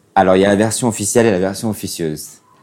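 The voice belongs to a man with a dark, mellow tone. He speaks at a fairly low pitch with ordinary pitch variation. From Morocco, Casablanca. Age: 30s. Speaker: interview guest. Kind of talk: casual interview. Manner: halting.

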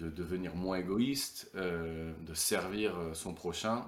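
The man's pitch is very deep and low, with ordinary pitch variation. Audible room echo surrounds the voice. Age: 30s. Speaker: retired professional footballer. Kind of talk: casual interview.

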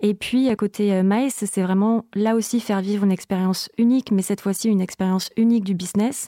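In a very clean, dry and close recording with no echo and a silent background, a woman speaks at a moderate pace with a dark, mellow tone and fairly even intonation. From southern France. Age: 40s. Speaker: business development manager. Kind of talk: interview.

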